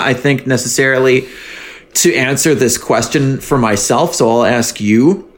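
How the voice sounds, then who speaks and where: A man talks at a fairly slow pace and a medium pitch. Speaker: podcast host. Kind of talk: casual chat. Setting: home studio. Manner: animated.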